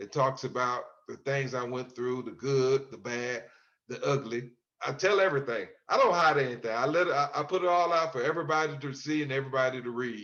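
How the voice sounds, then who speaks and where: Speaking at a fairly quick pace with an American accent, a man with an unremarkable speaking voice has a fairly high pitch and ordinary pitch variation. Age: 60s. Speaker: exoneree, author. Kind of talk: interview.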